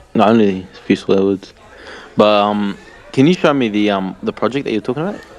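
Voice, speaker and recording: A man talks fairly quickly in a fairly low voice, his pitch varying in an ordinary way amid noticeable background noise. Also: big swings in loudness. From Australia, Tasmania. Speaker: language learner in chat group. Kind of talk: casual chat.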